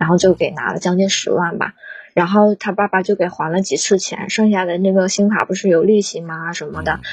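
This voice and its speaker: A woman with a medium pitch talks with fairly even intonation, keeping up a fairly quick pace. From Northeast China. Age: 20s. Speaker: caller, primary school teacher. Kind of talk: emotional advice call-in.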